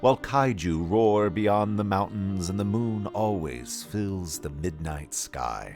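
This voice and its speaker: Over music in the background, a man speaks fairly slowly at a fairly low pitch with lively intonation. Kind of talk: audio drama trailer narration.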